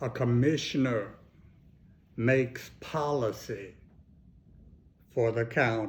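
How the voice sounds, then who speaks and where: Somewhat breathy and with an American accent, a man speaks at a medium pitch with fairly even intonation. His pace is very slow, broken by long, frequent pauses. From Texas (Fort Worth). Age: 70s. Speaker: county commissioner. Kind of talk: answering interview questions for schoolchildren.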